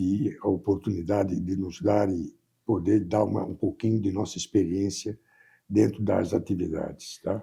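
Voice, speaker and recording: A man speaks at a moderate pace in a somewhat breathy voice with a fairly low pitch. His pitch variation is ordinary, and the background is quiet. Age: 80s+. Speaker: business executive. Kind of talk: interview.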